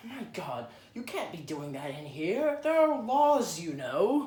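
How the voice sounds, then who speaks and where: In a put-on character voice, a man speaks at a high pitch and a fairly slow pace, with very wide pitch swings. His loudness swings widely, and an audible echo follows his voice. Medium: audio drama.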